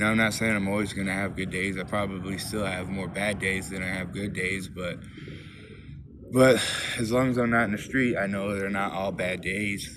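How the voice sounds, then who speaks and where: With audible room echo and noticeable background noise, a man speaks in a fairly low voice using monotone, flat intonation. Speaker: recovering alcoholic vlogger. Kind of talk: personal testimony monologue. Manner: fast; halting, repetitive.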